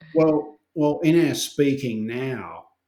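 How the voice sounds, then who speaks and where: A man in an Australian accent, very slow pace, dark and mellow tone. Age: 60s. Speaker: herbalist and herbal educator. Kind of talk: casual chat.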